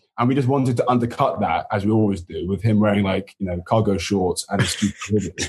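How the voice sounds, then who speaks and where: A man with an English accent talks at a very fast pace with hardly any pauses, his fairly low, somewhat breathy voice showing ordinary pitch variation. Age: 30s. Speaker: TV show co-creator. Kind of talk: casual chat.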